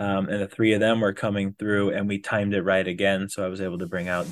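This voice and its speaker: Speaking with an American accent, a man with a very deep, low pitch talks at a fairly quick pace. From Wisconsin. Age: 30s. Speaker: day hiker and physician. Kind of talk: casual interview chat. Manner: halting, many fillers.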